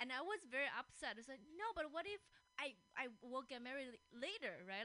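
A woman with a Chinese accent and lively intonation, over noticeable background noise. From China. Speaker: podcast host and comedian. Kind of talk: casual chat. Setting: studio.

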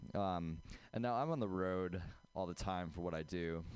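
Against a quiet background, a man with a very deep, low pitch speaks at a fairly slow pace with ordinary pitch variation. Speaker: first-time stand-up comedian.

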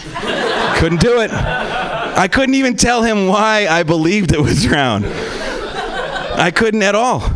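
A man's very slow speech with hardly any pauses and very even loudness, over noticeable background noise. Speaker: comedian. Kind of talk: stand-up. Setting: stage with audience.

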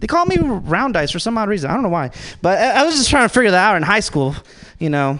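A man with an American accent, a high pitch, very wide pitch swings and a very fast pace. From Los Angeles, Salvadoran family. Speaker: stand-up comedian. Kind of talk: stand-up. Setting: stage with audience.

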